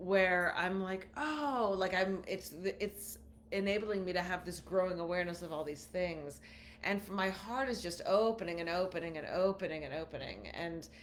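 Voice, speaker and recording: Noticeable background noise and audible room echo surround a woman of medium pitch talking at a moderate pace with ordinary pitch variation. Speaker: podcast co-host. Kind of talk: casual chat. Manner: halting.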